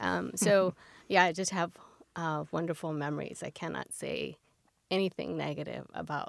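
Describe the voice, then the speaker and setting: The recording is very clean and the background silent. Her speech comes with a Californian accent. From San Fernando Valley, Los Angeles. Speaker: mother of three. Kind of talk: interview. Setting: studio.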